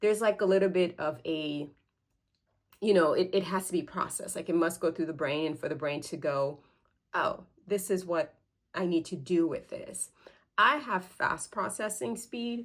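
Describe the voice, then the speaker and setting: A woman of medium pitch talks in an ordinary speaking voice with lively intonation. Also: moderate pace. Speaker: parenting educator. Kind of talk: casual explainer video. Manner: casual, filler words.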